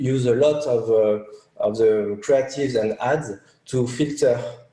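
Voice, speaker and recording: Speaking at a fairly slow pace and medium pitch with a French accent, a man is heard amid noticeable background noise and audible room echo. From France. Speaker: media buyer. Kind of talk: interview. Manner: halting, many fillers.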